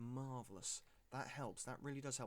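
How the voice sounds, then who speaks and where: With a British accent, a man speaks at a fairly high pitch and a moderate pace. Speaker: gaming streamer. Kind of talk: live gameplay commentary. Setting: live stream. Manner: animated.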